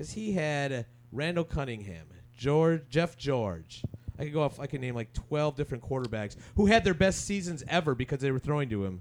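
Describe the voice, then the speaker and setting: With an American accent, a man speaks at a fairly high pitch and fairly quick pace. His voice is an unremarkable speaking voice with lively intonation. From Minnesota. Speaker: podcast co-host. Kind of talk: casual chat.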